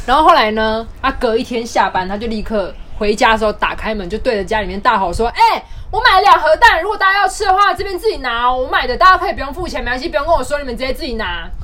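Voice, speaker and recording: This raised, projected voice races along at a very fast pace in an animated tone, with very wide pitch swings. Noticeable background noise and audible room echo surround it. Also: woman, high pitch for a woman. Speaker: podcast co-host. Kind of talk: casual chat.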